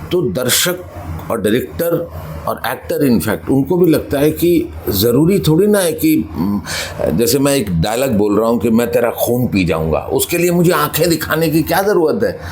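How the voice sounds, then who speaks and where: A man talks with very even loudness. Noticeable background noise sits behind him. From Gwalior, Madhya Pradesh, India. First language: Punjabi (speaking Hindi). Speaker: actor. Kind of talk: interview. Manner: hesitant, many fillers.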